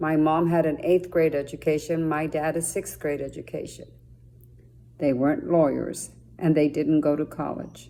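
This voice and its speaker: A woman speaks at a moderate pace in a very deep, low voice with a dark, mellow tone and vocal fry. Her intonation is monotone and flat. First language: Spanish. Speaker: judge. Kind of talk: motivational talk to students.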